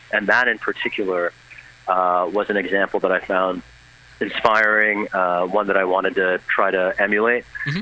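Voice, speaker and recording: A man keeps a moderate pace while noticeable background noise runs underneath. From United States (immigrated at age two). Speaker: lawyer and activist. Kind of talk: radio interview. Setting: phone call from the street.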